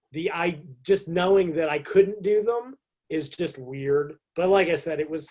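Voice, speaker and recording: A man's high voice with an American accent at a fairly slow pace. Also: ordinary pitch variation. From US. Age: 50s. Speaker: fitness and nutrition writer. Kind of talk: podcast interview. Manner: halting, many fillers.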